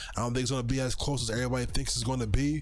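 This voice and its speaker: A man's medium-pitched voice in a monotone, flat intonation, with audible room echo. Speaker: sports betting show host. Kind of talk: sports betting picks talk. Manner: halting, stutters at times.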